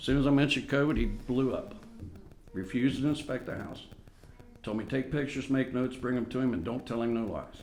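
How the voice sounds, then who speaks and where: Over music in the background and audible room echo, a man speaks at a very fast pace and medium pitch with ordinary pitch variation. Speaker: resident addressing city council. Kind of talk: public comment at council meeting. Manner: loud; agitated.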